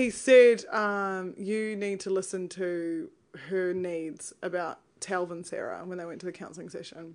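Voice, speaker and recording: A woman at medium pitch and fairly slow pace, big swings in loudness, quiet background. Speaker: podcast co-host, TV show commentator. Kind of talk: casual chat, comedic recap podcast. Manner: joking, animated, laughs often.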